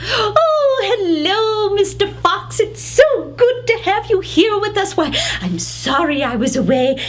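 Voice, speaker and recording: Against clear background noise, a woman uses a put-on character voice at an extremely high pitch. She goes at a fairly slow pace with hardly any pauses. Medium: read story. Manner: fluttery, hesitant, polite.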